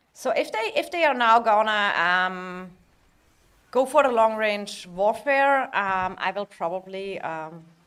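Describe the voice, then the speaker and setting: With a German accent, a woman speaks at a fairly high pitch and a fairly slow pace. Her intonation is lively, and the recording is very clean with a silent background. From Germany. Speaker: video game streamer. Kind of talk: live stream commentary. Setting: live stream. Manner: hesitant, many fillers.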